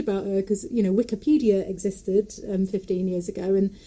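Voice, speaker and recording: A woman speaks at a fairly quick pace with a Nottingham accent. Her pitch sits at a medium level. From English Midlands, Nottingham area. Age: 40s. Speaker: folk singer, puppeteer and storyteller. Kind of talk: casual interview chat.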